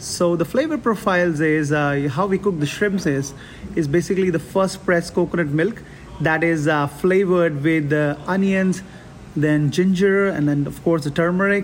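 A man's high voice holds a fairly even intonation. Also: moderate pace. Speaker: executive chef. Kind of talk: casual interview. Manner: halting, repeats words.

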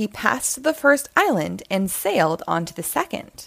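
A woman speaks fairly slowly at a medium pitch, her tone fairly bright. Her voice has vocal fry and big pitch swings.

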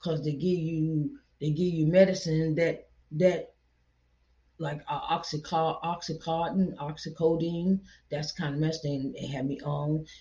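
A woman's fairly low, somewhat breathy voice, fairly even in intonation, at a fairly slow pace. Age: 40s. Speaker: podcast preacher. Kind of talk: sermon. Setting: seated in a chair. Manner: repetitive.

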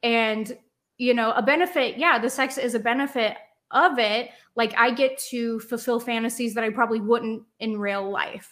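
An unremarkable speaking voice from a woman with an American accent, fairly high-pitched, with fairly even intonation, a moderate pace, and a very clean recording over a silent background. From Cincinnati, Ohio. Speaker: adult film performer. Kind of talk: casual chat.

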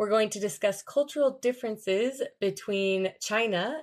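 A woman with a plain, everyday voice speaks at a fairly slow pace in a fairly high pitch with ordinary pitch variation. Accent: American. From United States. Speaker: English teacher and podcast host. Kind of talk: casual interview. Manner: clear, upbeat.

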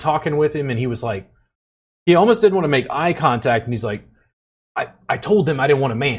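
Very fast and somewhat breathy, this voice carries lively intonation and an American accent. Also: man. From US South, Louisiana. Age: 40s. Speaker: podcast host and massage therapist. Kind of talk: casual chat.

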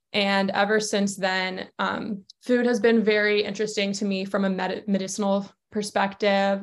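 The speaker talks in a flat, monotone way with an American accent. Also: woman. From US South, Georgia. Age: 20s. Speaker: sports nutritionist. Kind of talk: casual interview.

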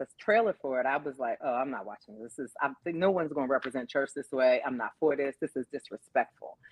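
A woman is speaking. Her intonation is lively. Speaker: podcast guest. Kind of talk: casual chat.

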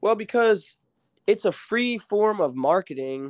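At a fairly slow pace, a man with an American accent and an unremarkable speaking voice talks with lively intonation. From Illinois and rural Alabama. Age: 20s. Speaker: rapper. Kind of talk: casual chat.

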